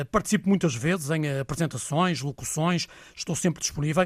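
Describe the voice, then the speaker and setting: The recording is very clean, with a silent background. A man speaks at a fairly high pitch, somewhat breathy, with ordinary pitch variation. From northern Portugal (Vila do Conde). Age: 40s. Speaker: sports radio reporter. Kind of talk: casual interview.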